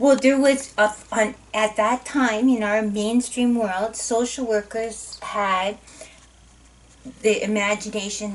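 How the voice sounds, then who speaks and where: Her voice sits fairly high. Background noise can clearly be heard. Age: 50s. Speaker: professor. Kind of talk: lecture. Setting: recorded course video.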